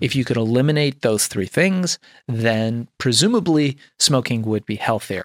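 Recorded with a dry, close sound and no echo, a man with an ordinary speaking voice talks at a medium pitch with lively intonation. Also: moderate pace, very clean recording, silent background. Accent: American. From Iran, raised in Los Angeles from childhood. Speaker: entrepreneur. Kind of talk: casual interview.

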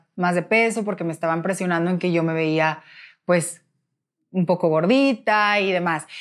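At a moderate pace, a woman with an unremarkable speaking voice talks at a medium pitch with ordinary pitch variation, in a very clean recording with a silent background. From Mexico, Nuevo León (Monterrey). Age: 20s. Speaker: former beauty queen, pageant director. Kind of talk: interview testimony.

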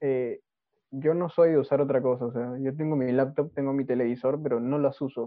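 A man of medium pitch talks at a fairly quick pace with monotone, flat intonation. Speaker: podcast co-host. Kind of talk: casual chat.

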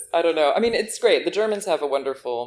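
With an American accent, a woman is talking. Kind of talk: casual chat.

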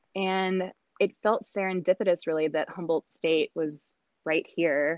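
A woman with an American accent talks at a moderate pace in a monotone, flat intonation. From South Carolina. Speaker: botanist. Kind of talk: interview.

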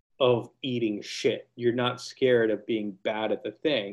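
At a medium pitch, a man speaks in a normal speaking voice. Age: 30s. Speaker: bass player. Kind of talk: casual chat.

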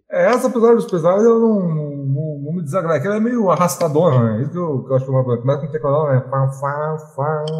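Amid audible room echo, a man speaks at a very fast pace in a fairly high pitch. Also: lively intonation. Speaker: rock music fan. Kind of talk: casual chat. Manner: halting.

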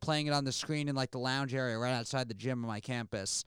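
A man with an American accent talks at a fairly quick pace, with fairly even intonation and a plain, everyday voice. The recording is very clean, with a silent background. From New York, Queens. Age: 20s. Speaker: comedian and podcast host. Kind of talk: casual chat.

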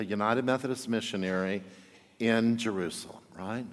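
In a very clean recording with a silent background, a man with a normal speaking voice talks at a moderate pace and medium pitch. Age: 50s. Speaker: pastor. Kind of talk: sermon.

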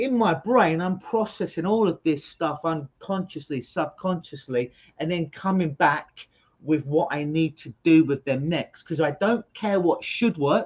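A man with a London accent, high in pitch, at a fairly slow pace. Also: ordinary pitch variation. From London, England. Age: 40s. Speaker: hypnotherapist. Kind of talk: interview. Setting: video call. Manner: animated.

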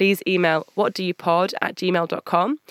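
Here a woman speaks with a British accent. Her pitch is medium, and the sound is dry and close with no echo. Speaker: podcast host, recruiter and journalist. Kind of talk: scripted intro and outro. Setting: studio.

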